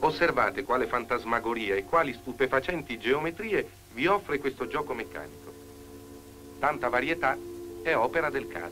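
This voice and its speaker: A man's pitch swings very widely, broken by long, frequent pauses. Noticeable background noise sits behind him. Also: medium pitch for a man, moderate pace. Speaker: actor. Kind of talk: documentary narration.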